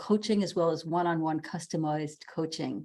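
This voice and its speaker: A woman's fairly low voice with an American accent, at a fairly quick pace, on a very clean recording with a silent background. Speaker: interview host. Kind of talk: interview introduction.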